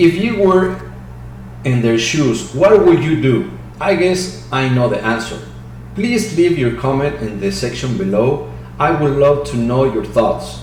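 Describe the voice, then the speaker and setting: A strong Mexican accent at a fairly slow pace, with audible room echo and noticeable background noise. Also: man. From Mexico City. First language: Spanish. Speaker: crypto market analyst. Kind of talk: technical analysis commentary. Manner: halting.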